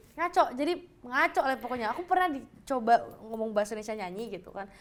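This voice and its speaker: Speaking at a very fast pace, a woman with a high pitch makes very wide pitch swings and big swings in loudness. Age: young. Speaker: singer. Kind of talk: casual chat. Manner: halting, searches for words.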